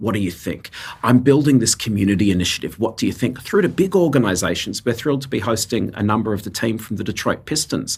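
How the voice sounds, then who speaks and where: Speaking at a very fast pace, a man with an Australian accent sounds somewhat breathy. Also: medium pitch for a man, ordinary pitch variation, hardly any pauses. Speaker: nonprofit co-founder. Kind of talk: interview.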